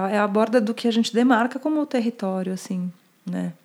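Recorded very cleanly against a silent background, a woman talks at a moderate pace in a São Paulo accent. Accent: Paulistano Brazilian Portuguese. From Brazil, São Paulo. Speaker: journalist and urbanism speaker. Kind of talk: casual interview conversation.

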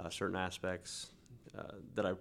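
Here a man speaks with a Midwestern American accent. His pace is moderate. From Kansas, Newton. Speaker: author and electrician. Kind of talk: casual interview.

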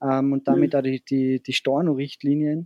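A man with an Austrian accent speaks at a fairly quick pace. His pitch is fairly high and his intonation is monotone and flat. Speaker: hotelier. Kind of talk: interview.

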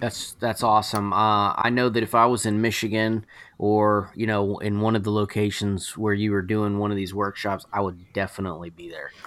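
A man with a Southern US accent, fairly low pitch and monotone, flat intonation, at a moderate pace with hardly any pauses, on a very clean recording with a silent background. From Georgia, US South. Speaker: podcast host. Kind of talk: casual chat.

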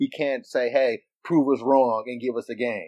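The sound is dry and close with no echo as a man talks at a moderate pace and medium pitch in a normal speaking voice. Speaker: podcast co-host. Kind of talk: casual chat.

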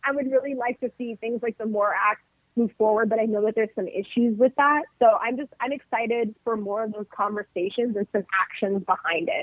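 Talking at a fairly quick pace with a Californian accent, a woman uses a fairly high pitch and ordinary pitch variation. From US West Coast, northern California (707 area). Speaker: union representative. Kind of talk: casual chat.

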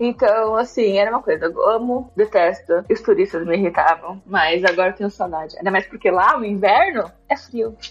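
A woman talks at a moderate pace in an ordinary speaking voice with lively intonation. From São Paulo, Brazil. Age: 30s. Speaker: software developer. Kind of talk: casual interview.

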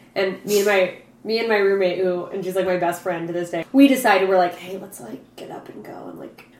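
Big swings in loudness at a fairly quick pace, with hardly any pauses and noticeable background noise. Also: woman, medium pitch for a woman, ordinary pitch variation. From Alaska. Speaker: podcast guest, former university student. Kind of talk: casual chat.

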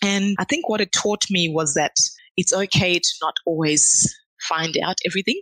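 A woman with an Australian accent at a medium pitch, bright and sharp in tone, at a moderate pace with ordinary pitch variation and very even loudness, in a dry, close sound with no echo. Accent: Australian-tinged. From Zimbabwe. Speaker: chemical engineer. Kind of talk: casual interview.

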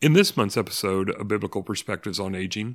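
A man speaks at a fairly low pitch with ordinary pitch variation in a normal speaking voice. The sound is dry and close with no echo, on a very clean recording with a silent background. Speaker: podcast host. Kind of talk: podcast intro and outro.

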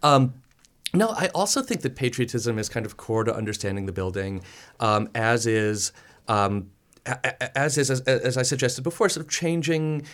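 In a very clean recording with a silent background, a man with an American accent and an unremarkable speaking voice talks at a moderate pace with medium pitch and lively intonation. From Chicago. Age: 30s. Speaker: architect and professor. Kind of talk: radio interview. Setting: radio studio.

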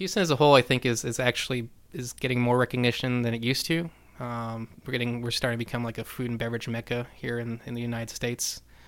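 On a very clean recording with a silent background, a man speaks at a very fast pace with a medium pitch and fairly even intonation. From New Mexico. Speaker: bartender. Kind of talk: casual chat.

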